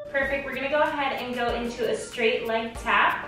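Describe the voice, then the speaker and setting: A woman talks at a moderate pace amid noticeable background noise and strong room echo. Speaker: fitness instructor. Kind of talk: workout instructions. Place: home room.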